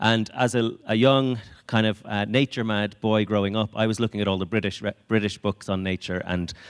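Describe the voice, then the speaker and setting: Recorded very cleanly with a silent background, a man with an Irish accent talks at a fairly quick pace with a fairly low pitch and fairly even intonation. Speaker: conservation project speaker. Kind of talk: conference talk. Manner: hesitant, many fillers.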